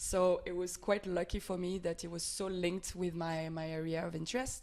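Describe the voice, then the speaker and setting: A woman talks with a French accent at a medium pitch. Her pace is moderate. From France. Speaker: NGO advocacy officer. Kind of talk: podcast interview. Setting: office.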